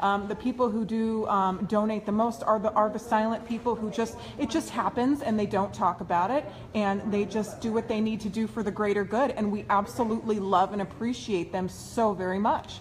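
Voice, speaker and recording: Over light background noise, the speaker talks at a fairly quick pace with an enthusiastic tone and hardly any pauses. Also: woman, fairly high pitch for a woman. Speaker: online video host. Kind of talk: live video interview. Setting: indoors at event venue. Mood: excited, enthusiastic. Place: meeting room. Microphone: phone near.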